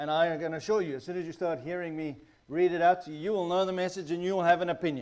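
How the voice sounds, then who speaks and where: A man talks very fast in a high pitch. The recording is very clean, with a silent background. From South Africa. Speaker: guest preacher, missionary pastor. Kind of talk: sermon. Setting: church.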